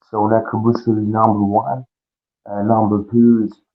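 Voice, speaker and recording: A man with a Russian accent speaks at a medium pitch and a fairly slow pace, his intonation monotone and flat. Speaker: pro wrestler. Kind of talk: interview.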